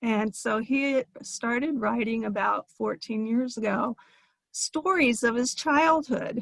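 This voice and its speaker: A woman with an American accent, fairly high pitch and ordinary pitch variation, in a dry, close sound with no echo. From US Midwest, northwest Ohio. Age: 60s. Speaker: audience member asking a question. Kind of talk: audience comment at Q&A. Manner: halting.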